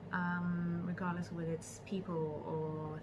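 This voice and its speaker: Noticeable background noise surrounds a woman with a fairly low pitch. She talks at a very slow pace with fairly even intonation. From Sri Lanka. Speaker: travel blogger. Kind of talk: interview answer. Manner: hesitant, many filler words.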